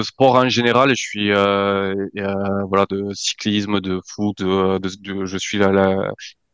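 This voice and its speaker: A very slow, fairly low-pitched male voice, dry and close with no echo, against a quiet background. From French Pyrenees. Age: 30s. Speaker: amateur trail runner, listener. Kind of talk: podcast interview. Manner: halting, many hesitations.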